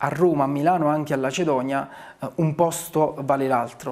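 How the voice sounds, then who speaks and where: Delivery is monotone with flat intonation at a moderate pace. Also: man. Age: 40s. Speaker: town mayor. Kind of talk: interview. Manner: hesitant, with frequent fillers. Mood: calm, reflective. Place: office.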